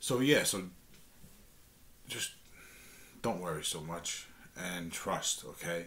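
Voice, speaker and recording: Speaking at a fairly slow pace, a man with a strong New York accent shows ordinary pitch variation. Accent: thick New York. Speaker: guitar teacher, channel host. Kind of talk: tutorial talk to camera. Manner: halting, many fillers and restarts; casual, friendly.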